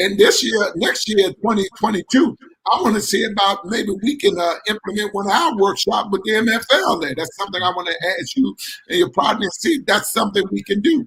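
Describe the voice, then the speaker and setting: Lively intonation colors this man's high-pitched voice. He speaks at a fairly quick pace. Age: 60s. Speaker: sports league founder and radio show host. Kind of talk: sports talk radio conversation. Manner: halting, many fillers and repetitions.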